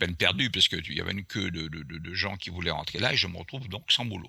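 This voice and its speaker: Speaking at a very fast pace, a man has a very deep, low pitch and a bright, sharp tone. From Martinique. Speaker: airline pilot and author. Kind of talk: storytelling interview. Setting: remote call.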